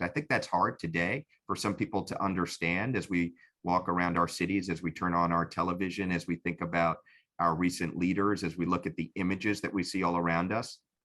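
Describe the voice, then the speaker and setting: Very deep and low in pitch, a man with a New York accent talks at a fairly quick pace in a bright, sharp tone with fairly even intonation, on a very clean recording with a silent background. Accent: New York American. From New York City. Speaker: civil rights lawyer and commissioner. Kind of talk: interview. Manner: halting, many repetitions.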